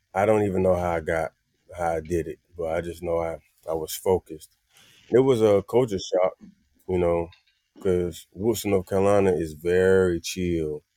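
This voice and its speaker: Dry and close with no echo, a man with an American accent talks at a moderate pace in a very deep, low, dark and mellow voice, his intonation fairly even and broken by long, frequent pauses. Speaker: singer and musician. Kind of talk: casual chat. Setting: living room.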